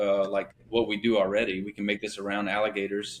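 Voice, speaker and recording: At a very fast pace, a man with a slight Louisiana accent talks in a fairly low voice. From Louisiana (born Thibodaux, raised Shreveport). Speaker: business owner, company founder. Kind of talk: interview conversation. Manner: casual, many filler words.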